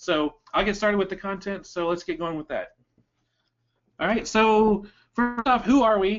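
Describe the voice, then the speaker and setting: A man speaks with ordinary pitch variation. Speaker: online business trainer. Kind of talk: webinar presentation. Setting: online webinar. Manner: fast.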